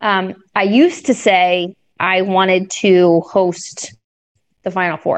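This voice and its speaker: In an American accent, a woman talks at a very slow pace at a medium pitch with fairly even intonation and long, frequent pauses. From Minnesota. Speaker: sports broadcaster. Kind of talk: interview.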